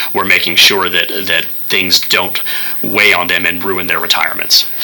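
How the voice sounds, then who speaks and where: This man's very deep, low voice stays monotone and flat as he talks at a moderate pace, with noticeable noise behind him. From Kentucky (Louisville). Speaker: nonprofit CEO, retired firefighter. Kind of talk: radio interview.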